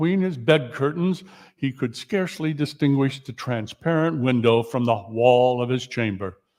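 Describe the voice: The recording consists of plain reading aloud.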